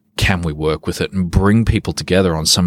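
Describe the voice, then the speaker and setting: This speaker is a man with an Australian accent. His voice is pitched very deep and low. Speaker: behavioural economist and consultant. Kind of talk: interview.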